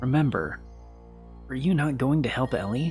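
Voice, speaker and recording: Over clear background music, a man uses a put-on character voice at medium pitch and a moderate pace. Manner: menacing.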